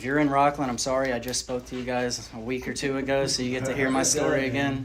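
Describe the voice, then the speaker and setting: Over noticeable background noise, a man with an American accent speaks at medium pitch and a fairly quick pace. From rural North Carolina, then Florida from age ten. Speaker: recovering addict sharing story. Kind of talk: recovery testimony. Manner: casual, halting with fillers.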